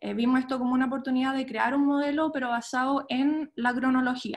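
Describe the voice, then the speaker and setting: A woman talks at a fairly quick pace with a high pitch. Her intonation stays monotone and flat. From Chile, moved to the US at 13. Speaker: archaeologist. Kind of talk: lecture. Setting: video call. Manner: halting, many fillers.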